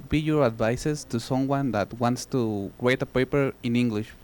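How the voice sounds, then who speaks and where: Lively intonation carries this moderate-paced delivery in a Spanish accent. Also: man. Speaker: audience member asking a question. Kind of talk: audience question.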